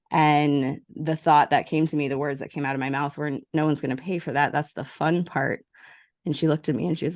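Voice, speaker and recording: Against a quiet background, a woman with a very deep, low pitch talks at a fairly quick pace with fairly even intonation. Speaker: business coach and entrepreneur. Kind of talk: interview. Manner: fast.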